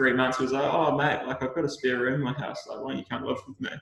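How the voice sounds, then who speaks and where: With a New Zealand accent, a man speaks at a medium pitch. His intonation is monotone and flat. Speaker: Olympic swimmer. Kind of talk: casual interview chat.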